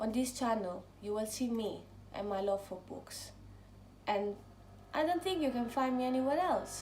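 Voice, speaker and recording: A woman's fairly high voice in an Italian accent, with lively intonation, a moderate pace, long, frequent pauses and audible room echo. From Italy, near Rome. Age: 20s. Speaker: book vlogger. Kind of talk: casual vlog talk.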